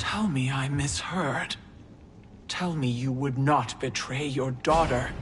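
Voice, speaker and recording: A put-on character voice at a low-to-middle pitch moves at a fairly slow pace. Clear background noise is present. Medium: video game. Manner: firm, grave.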